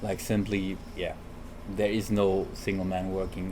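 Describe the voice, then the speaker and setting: Monotone, flat male speech with audible room echo. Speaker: architect. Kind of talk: casual chat. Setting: recorded on the road, single directional mic. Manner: mumbling.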